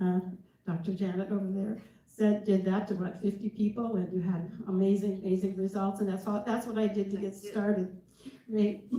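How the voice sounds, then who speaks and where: Noticeable background noise accompanies a woman at medium pitch. She speaks at a moderate pace in a monotone, flat intonation. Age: 70s. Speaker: dietitian. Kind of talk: testimony. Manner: halting.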